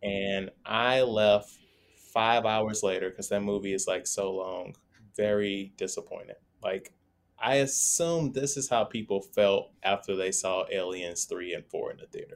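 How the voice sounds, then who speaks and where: The speaker has a normal speaking voice with ordinary pitch variation. The pace is fairly slow, and the recording is very clean with a silent background. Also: man, fairly low pitch for a man. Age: 30s. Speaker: podcast guest, fellow podcaster. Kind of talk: casual chat.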